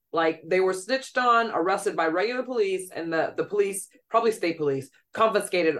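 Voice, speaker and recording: A woman with an American accent talks at a moderate pace in an unremarkable speaking voice, her medium pitch carried by lively intonation. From New York. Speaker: playwright and actor. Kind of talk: casual chat.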